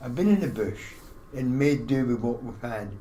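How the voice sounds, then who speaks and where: A man with a Scottish accent talks at a fairly quick pace. His intonation is lively, and room echo can be heard. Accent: Scottish, still present. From Scotland. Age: 60s. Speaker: army veteran, small business owner. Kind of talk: casual chat.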